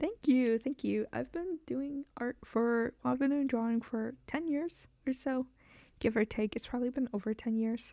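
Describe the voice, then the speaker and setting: Soft-spoken and dark, mellow in tone, a woman with a high pitch and ordinary pitch variation talks at a fairly slow pace in a very clean, dry, close recording with no echo and a silent background. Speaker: VTuber streamer and artist. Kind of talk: casual live stream chat while drawing. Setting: live stream. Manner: quiet, soft-spoken; halting, many fillers. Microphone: too quiet on stream.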